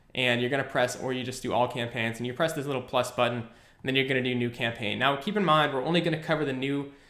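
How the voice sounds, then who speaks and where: A man talks at a very fast pace with fairly even intonation. Audible room echo is present. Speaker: online marketing educator; online ads instructor. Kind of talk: screen-recorded tutorial. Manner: casual, filler words. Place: home room.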